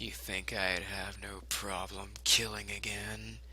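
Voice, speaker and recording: A man speaks in a put-on character voice. His pace is fairly slow, with clear background noise. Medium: read story. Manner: smug.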